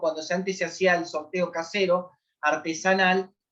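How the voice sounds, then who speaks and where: A woman talks fairly slowly in a bright, sharp tone. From Argentina, southern Greater Buenos Aires. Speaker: lawyer and lecturer on family violence. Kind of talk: lecture. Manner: hesitant, many fillers.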